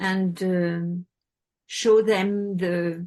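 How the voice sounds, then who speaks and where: In a French accent, a woman speaks at a medium pitch with a dark, mellow tone. Her intonation is monotone and flat. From France. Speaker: support group member and sponsor. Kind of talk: sharing in a support group meeting. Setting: video call. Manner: halting.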